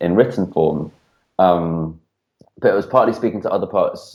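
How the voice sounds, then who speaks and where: The man's voice is dark and mellow. It sits very deep and low in pitch. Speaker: spoken word poet. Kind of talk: interview answer. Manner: fast.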